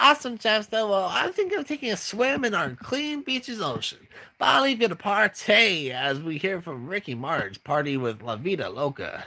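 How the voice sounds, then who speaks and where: The speaker uses a put-on character voice at a moderate pace, with very wide pitch swings. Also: man, high pitch for a man. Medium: read story. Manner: bubbly, upbeat.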